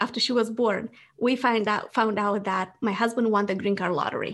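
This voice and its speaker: A woman speaks with an Eastern European accent at a moderate pace. Her pitch is fairly high. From Moldova. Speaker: business founder. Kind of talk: interview.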